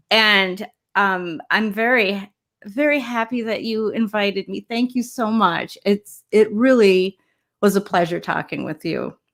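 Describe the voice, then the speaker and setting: Pitch varies in an ordinary way as a woman talks at a fairly slow pace in a normal speaking voice. Her pitch is medium, and the recording is very clean with a silent background. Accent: American. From Chicago, US Midwest. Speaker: visual artist and photographer. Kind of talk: live stream interview.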